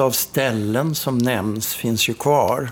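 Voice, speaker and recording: Very slow speech with fairly even intonation and music in the background. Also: man. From Sweden, Karlstad (Värmland). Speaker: travel journalist. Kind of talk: interview.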